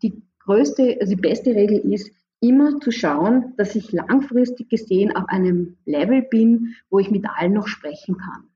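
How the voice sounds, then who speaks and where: At a fairly slow pace, a woman speaks with a fairly high pitch, a somewhat breathy sound and ordinary pitch variation. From Austria, Graz. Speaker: professor of international management. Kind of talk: interview.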